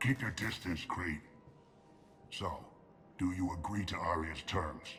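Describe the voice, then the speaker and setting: In a put-on character voice, a man speaks very deep and low at a fairly slow pace with ordinary pitch variation, over clear background noise. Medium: video game. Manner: gruff, curt.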